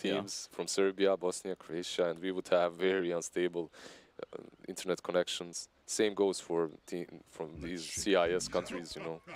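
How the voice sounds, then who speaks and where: A man with a Slavic accent speaks at a moderate pace in a very deep, low pitch. His intonation is monotone and flat, and the sound is dry and close with no echo. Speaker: esports commentator. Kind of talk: live commentary.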